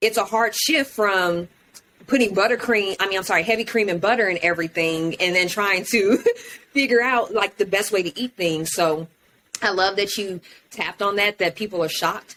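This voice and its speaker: Using an ordinary speaking voice, a woman with an American accent talks at a medium pitch with ordinary pitch variation. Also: moderate pace. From Houston, Texas. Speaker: podcast host. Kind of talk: casual chat.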